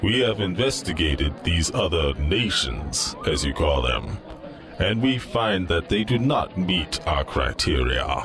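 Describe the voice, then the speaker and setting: A man's put-on character voice, very deep and low, at a fairly slow pace over clear background noise. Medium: audio drama. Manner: formal, stilted, literal.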